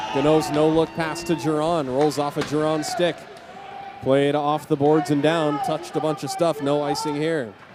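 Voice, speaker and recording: A man with an American accent talks at a moderate pace in a flat, monotone delivery, his pitch fairly high for a man, over noticeable background noise. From Southern California. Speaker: hockey play-by-play announcer. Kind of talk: live sports commentary.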